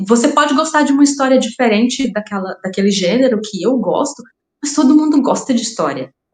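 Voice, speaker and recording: A woman's high-pitched voice rises and falls with lively intonation. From Brazil, raised in Rondônia. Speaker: crime fiction writer. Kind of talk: podcast interview. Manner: halting, repeats words.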